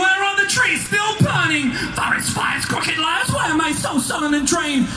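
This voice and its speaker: Over clear background music, a man shouts at a moderate pace. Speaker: metal vocalist. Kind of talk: spoken word poetry performance. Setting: live concert stage. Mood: brooding, intense. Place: stage.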